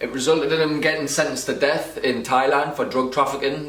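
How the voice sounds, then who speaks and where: A man with a northern English accent speaks very fast with fairly even intonation, amid noticeable background noise and audible room echo. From northern England. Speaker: podcast co-host. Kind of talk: podcast intro and interview.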